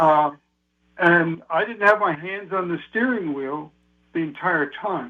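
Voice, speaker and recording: A high-pitched man at a fairly slow pace with ordinary pitch variation. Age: 80s+. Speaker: personal finance writer. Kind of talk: radio interview. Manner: halting, many fillers.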